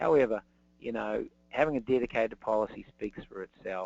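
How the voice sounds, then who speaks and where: A man's medium-pitched voice with a New Zealand accent, at a fairly quick pace. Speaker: insurance specialist. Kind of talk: webinar presentation. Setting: online webinar. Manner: halting, many fillers.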